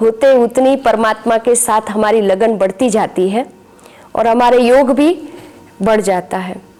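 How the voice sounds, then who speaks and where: A woman talks with a fairly high pitch while noticeable noise runs in the background. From Gujarat, India. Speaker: spiritual teacher. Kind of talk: testimony.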